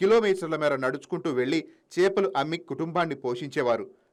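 On a very clean recording with a silent background, a man with a fairly high pitch and lively intonation speaks in a normal speaking voice. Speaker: news narrator. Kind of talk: TV news voice-over.

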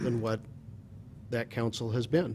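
A somewhat breathy voice with an American accent over light background noise. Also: man. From US Pacific Northwest. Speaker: mayor chairing city council. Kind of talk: formal public meeting. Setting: council chamber. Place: hall. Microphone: podium.

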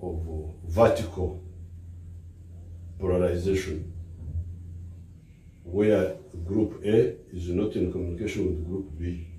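With a Ugandan accent, a man speaks in a very deep, low pitch with a dark, mellow, somewhat breathy tone, monotone intonation and long, frequent pauses, in a room with audible echo. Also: fairly slow pace, light background noise. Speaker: politician. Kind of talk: public speech.

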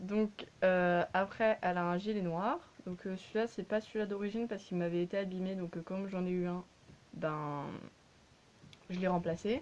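Speaking at a moderate pace with long, frequent pauses, a woman holds a medium pitch and a fairly even intonation. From France. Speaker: YouTuber reviewing collectible dolls; doll collector reviewer. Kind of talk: casual product review. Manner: hesitant, many fillers. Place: home room. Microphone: phone near.

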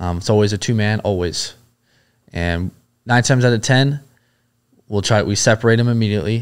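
With an American accent, a man speaks in a fairly low voice and fairly even intonation against a quiet background. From Southern California, US. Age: 30s. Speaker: former Navy SEAL and police officer; podcast guest. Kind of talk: casual interview chat. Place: studio. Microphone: studio mic.

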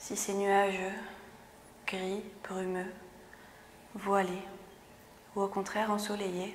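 Over light background noise, a woman speaks very slowly with monotone, flat intonation. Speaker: meditation instructor. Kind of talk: guided exercise and meditation instruction. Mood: calm, soothing, slow. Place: gym. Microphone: lapel.

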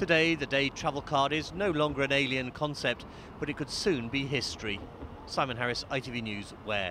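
A man with a British accent, a bright, sharp tone and a fairly high pitch, with ordinary pitch variation at a moderate pace, dry with no echo but with noticeable background noise. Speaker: political correspondent. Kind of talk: news report.

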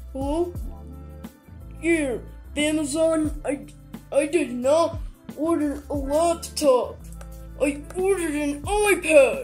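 In a cartoonish character voice, a high-pitched speaker goes at a very slow pace while clear music plays in the background. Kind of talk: comedy puppet skit. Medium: puppet. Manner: hesitant, stammering, childish.

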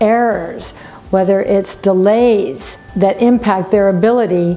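Faint music sits behind a woman speaking fairly slowly with fairly even intonation. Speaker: business coach. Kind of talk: talking-head business vlog. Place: office.

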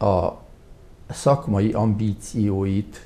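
Somewhat breathy, this man's voice sits at a fairly low pitch. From Hungary, Tura; Hungary. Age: 70s. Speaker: retired hospital doctor; interview guest. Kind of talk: interview. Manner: halting. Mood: calm, reflective. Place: studio. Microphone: lapel.

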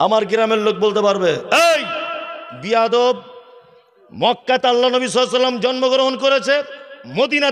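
A man with an extremely high pitch speaks in an animated tone with ordinary pitch variation. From West Bengal, North 24 Parganas; West Bengal. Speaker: Islamic preacher. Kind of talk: religious sermon at a public gathering. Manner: animated, fiery. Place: stage. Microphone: podium.

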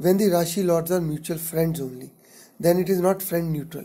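The speaker has an Indian accent. The pace is fairly quick. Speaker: astrologer. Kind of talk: tutorial.

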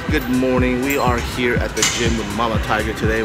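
Loud music fills the background while a man speaks at a moderate pace. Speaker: family vlogger. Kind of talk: casual vlog chat. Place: gym. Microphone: phone near.

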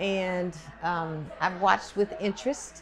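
A woman with an American accent speaks at a very slow pace, her intonation fairly even. Noticeable background noise runs underneath. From Oklahoma. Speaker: retired state senator. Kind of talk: advocacy speech. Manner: forceful. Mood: earnest, mildly indignant. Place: hall.

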